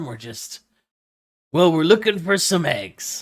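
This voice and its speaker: A man puts on a gravelly, raspy character voice pitched high, speaking at a fairly slow pace. His pitch swings very widely throughout. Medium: actual play.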